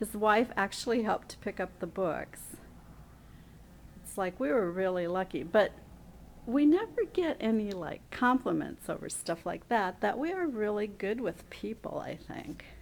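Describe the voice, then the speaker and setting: A plain, everyday voice with an American accent speaks at a moderate pace, with lively intonation and big swings in loudness. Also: woman, medium pitch for a woman. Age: 60s. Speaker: library worker. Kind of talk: casual video diary. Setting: inside a library, filming herself.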